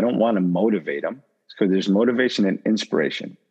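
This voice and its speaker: A man has an unremarkable speaking voice, fairly low in pitch, with ordinary pitch variation. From Portugal until age six, then raised in US. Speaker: life and business coach. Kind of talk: interview conversation.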